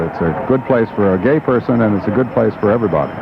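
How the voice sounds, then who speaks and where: Amid noticeable background noise, a man with a fairly low pitch talks at a very fast pace with lively intonation. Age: 50s. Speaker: army veteran. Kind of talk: street interview.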